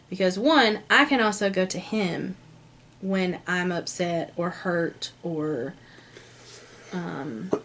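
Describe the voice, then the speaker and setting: A woman's medium-pitched voice with lively intonation, a very slow pace, and long, frequent pauses. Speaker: lifestyle vlogger. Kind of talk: casual chat. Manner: loud.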